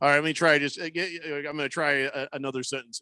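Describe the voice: A man speaks at a very fast pace with a fairly high pitch and a bright, sharp tone. The sound is dry and close with no echo.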